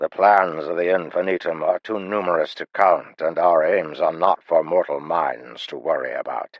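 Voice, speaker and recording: This man puts on a character voice with a gravelly edge. He keeps a moderate pace with hardly any pauses. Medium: read story. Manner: calm.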